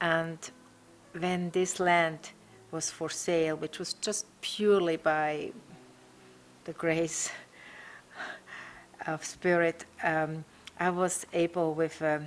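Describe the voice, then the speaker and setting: A woman's very slow, monotone, flat speech in a Swiss accent, fairly low in pitch, with long, frequent pauses. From Switzerland. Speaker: eco retreat owner. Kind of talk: interview.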